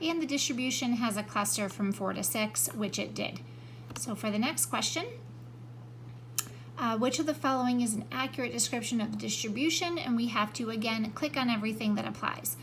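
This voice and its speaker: A woman speaks at a fairly quick pace. There is audible room echo and noticeable background noise. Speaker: math teacher. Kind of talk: tutorial. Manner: fast.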